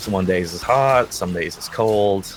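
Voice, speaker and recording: Soft-spoken and at a very slow pace, a man speaks at a fairly low pitch with ordinary pitch variation. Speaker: streamer. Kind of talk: casual interview.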